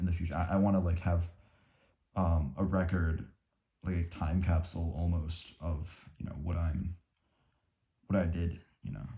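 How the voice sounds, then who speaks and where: This man's voice is very deep and low, with a dark, mellow tone, a somewhat breathy quality and fairly even intonation. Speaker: student vlogger. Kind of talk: unscripted study vlog. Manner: slow; halting, many fillers and repetitions.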